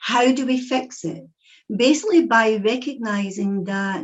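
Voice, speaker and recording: A woman speaks very slowly in a Scottish accent. Her voice sits fairly high, with lively intonation. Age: 60s. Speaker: psychic medium and speaker. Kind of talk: talk to an audience.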